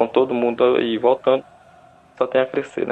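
A man at a moderate pace. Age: 20s. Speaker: football fan podcast panelist. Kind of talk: casual chat.

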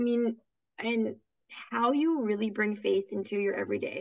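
A woman with an American accent speaks in an enthusiastic tone. Her pitch is fairly high and her pace is moderate. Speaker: podcast host. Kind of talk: casual interview.

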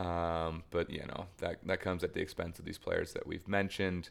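At a moderate pace, a man with a very deep, low pitch talks in a monotone, flat intonation. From United States. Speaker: football podcast co-host. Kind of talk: casual chat.

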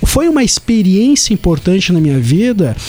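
Over noticeable background noise, the voice makes very wide pitch swings. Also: man. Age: 30s. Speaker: podcast co-host. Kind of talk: casual chat. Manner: halting.

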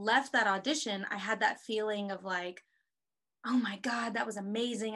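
Using an ordinary speaking voice, a woman with an American accent and fairly high pitch speaks at a moderate pace with fairly even intonation. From Texas (Houston). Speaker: actress and filmmaker. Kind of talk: casual chat.

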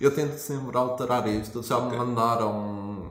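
Medium-pitched male voice in a European Portuguese accent, moderate pace and fairly even intonation, with audible room echo and noticeable background noise. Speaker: podcast host. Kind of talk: casual chat.

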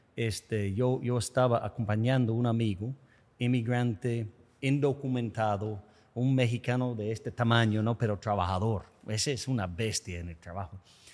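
A man with an English accent speaks at a medium pitch and moderate pace. His intonation is fairly even, and the recording is very clean with a silent background. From United States. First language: English (speaking Spanish). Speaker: podcast host. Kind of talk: interview conversation.

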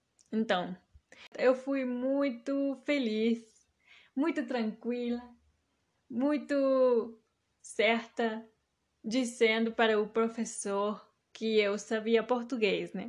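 Speaking at a very slow pace, a woman uses a high pitch with ordinary variation. The background is quiet. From Mexico. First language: Spanish (speaking Portuguese). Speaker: podcast host. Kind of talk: personal monologue.

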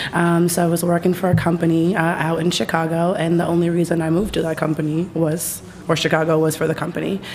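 Over noticeable background noise, a woman with an American accent and a fairly low pitch speaks at a very fast pace with monotone, flat intonation, very even loudness and hardly any pauses. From Boston, Dorchester. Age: young. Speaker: cannabis industry manager. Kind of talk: casual chat.

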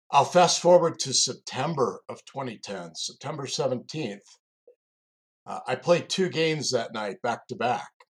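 The speaker goes at a fairly slow pace, somewhat breathy, with lively intonation and big swings in loudness. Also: man, fairly high pitch for a man. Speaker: executive coach and security recruiter, co-host. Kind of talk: personal storytelling.

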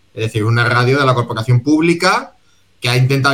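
This man has an unremarkable speaking voice of medium pitch. His pitch variation is ordinary. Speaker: podcast co-host. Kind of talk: casual chat.

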